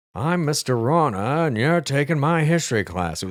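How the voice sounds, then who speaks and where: Doing a put-on character voice, a man speaks at a moderate pace and fairly high pitch with lively intonation. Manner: imitating a teacher he liked.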